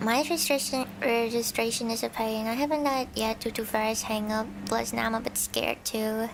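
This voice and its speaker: A woman at fairly high pitch, fairly quick pace and fairly even intonation, with noticeable background noise. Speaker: virtual streamer (vtuber) and ASMR creator. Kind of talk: soft reading of scary stories with casual commentary.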